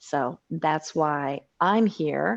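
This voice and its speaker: A woman is speaking. The background is quiet. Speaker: meditation teacher. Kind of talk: online beginner meditation class intro.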